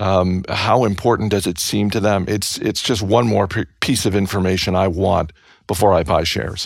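On a very clean recording with a silent background, a man with an unremarkable speaking voice talks at a moderate pace and a fairly low pitch. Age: 50s. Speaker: podcast host and investing commentator. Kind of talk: casual interview.

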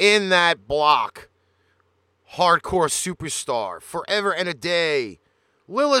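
The voice is raised and projected, bright and sharp in tone, moving at a very slow pace with very wide pitch swings. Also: man, dry, close sound with no echo, very clean recording, silent background. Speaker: radio host. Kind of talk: radio DJ patter, live show intro and back-announcing tracks. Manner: energetic, punchy broadcaster delivery.

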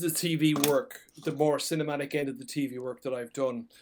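A man with a slight Irish accent, fairly high pitch, ordinary pitch variation and a moderate pace. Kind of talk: casual chat. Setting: remote recording, video call.

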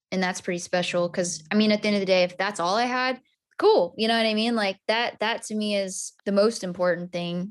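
A woman with a plain, everyday voice and an American accent speaks at a fairly quick pace and medium pitch with fairly even intonation, in a very clean recording with a silent background. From Texas (Amarillo). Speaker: country singer-songwriter. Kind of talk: interview.

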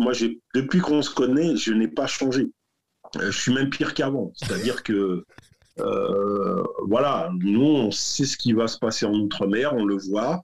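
A normal speaking voice from a man at medium pitch, with lively intonation and a fairly slow pace. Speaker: entrepreneur, business network founder. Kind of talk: casual interview. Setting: video call. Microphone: poor audio quality over video call.

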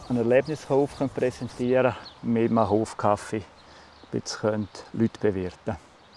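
Over noticeable background noise, a man with a Graubünden accent speaks with fairly even intonation. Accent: Swiss German (Bündner). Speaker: farmer. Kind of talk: interview.

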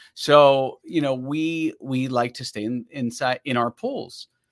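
The dry, close recording with no echo carries a man's fairly high-pitched voice with ordinary pitch variation. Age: 50s. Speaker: ad copywriter and business founder. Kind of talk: interview. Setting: video call. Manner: animated.

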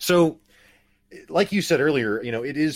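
A very clean recording with a silent background of a man in an American accent. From Missouri (Springfield). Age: 30s. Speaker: podcast host. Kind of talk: casual interview chat. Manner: halting, many repetitions and fillers.

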